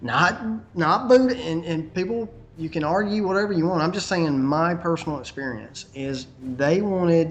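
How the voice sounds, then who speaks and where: A man with a high voice speaks in a Southern US accent, with lively intonation at a moderate pace. Noticeable background noise runs underneath. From US South. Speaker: conspiracy video maker. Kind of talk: interview. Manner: halting.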